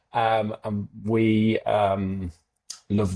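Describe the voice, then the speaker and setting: A man speaks in a dark, mellow tone with an English Midlands accent. His intonation stays monotone and flat against a quiet background. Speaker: accounting firm founder. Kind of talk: webinar interview. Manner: halting, repeats words.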